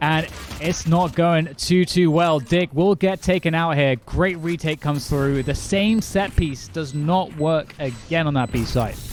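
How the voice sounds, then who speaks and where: Noticeable background noise sits behind a man who speaks with hardly any pauses. His pitch is fairly high and varies in an ordinary way. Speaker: esports caster. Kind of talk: live commentary. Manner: fast, energetic play-by-play.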